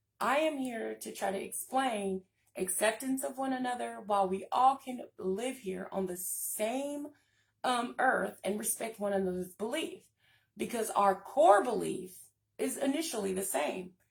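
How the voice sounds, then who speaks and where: A woman's somewhat breathy voice at a fairly high pitch, with lively intonation and a fairly slow pace. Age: 30s. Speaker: spiritual channel host. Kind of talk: casual live stream talk. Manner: stutters and stumbles at times; many filler ums.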